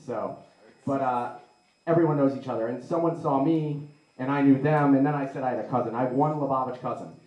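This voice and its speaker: A man's fairly high voice at a very fast pace, with audible room echo. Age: 20s. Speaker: comedian. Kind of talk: stand-up. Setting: stage with audience. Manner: animated. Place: hall.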